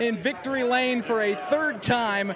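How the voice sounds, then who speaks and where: A man with an extremely high pitch, plus noticeable background noise. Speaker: motorsport radio pit reporter. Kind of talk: live radio play-by-play from victory lane. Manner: energetic.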